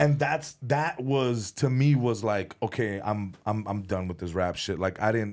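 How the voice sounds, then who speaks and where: At a fairly slow pace with hardly any pauses, a man with a normal speaking voice and a fairly low pitch speaks on a very clean recording with a silent background. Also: ordinary pitch variation. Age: 30s. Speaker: comedian and former rapper.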